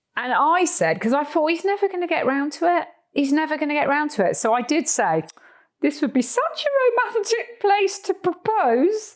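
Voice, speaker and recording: Pitch swings very widely as the words come at a moderate pace. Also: woman, extremely high pitch for a woman. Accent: Cornish. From Cornwall, southwest England. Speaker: horse trekker and author. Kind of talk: casual interview chat. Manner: animated.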